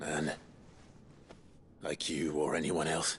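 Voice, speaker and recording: This is a raspy, put-on character voice. Clear background noise can be heard. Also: man, very deep, low pitch for a man. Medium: short film. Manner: measured, composed.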